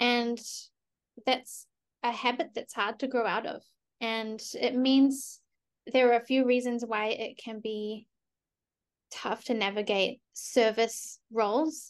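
A high-pitched woman with a New Zealand accent speaks at a very slow pace, leaving long, frequent pauses. Her intonation is fairly even, and the background is quiet. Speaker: collaborative pianist. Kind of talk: casual interview.

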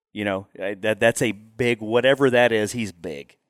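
A man of medium pitch speaks in a Texan accent. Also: dry, close sound with no echo, very clean recording, silent background. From Texas Panhandle. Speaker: hunting outfitter. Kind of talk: casual interview. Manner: halting, repetitive.

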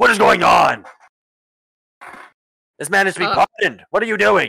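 A put-on character voice from a man, raspy and high-pitched, at a moderate pace. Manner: commanding, authoritative, demanding.

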